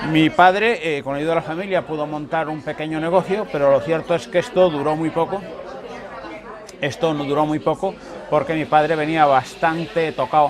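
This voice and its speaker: Crowd noise fills the background as a man talks at a moderate pace, his pitch fairly high. The room echoes audibly, and his pitch variation is ordinary. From Cuba. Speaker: political refugee. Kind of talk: interview.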